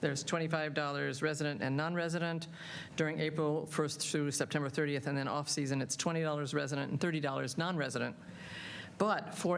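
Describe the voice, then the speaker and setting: A woman's very deep, low voice with fairly even intonation and audible room echo. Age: 70s. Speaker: public commenter at council meeting. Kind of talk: public comment. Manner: halting, many fillers.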